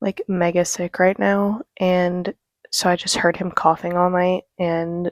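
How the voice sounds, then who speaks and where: A woman speaks quietly at a fairly low pitch and a fairly slow pace, her intonation flat and monotone, in a dry, close recording with no echo. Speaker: book vlogger. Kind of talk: casual vlog talk. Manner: quiet, low energy.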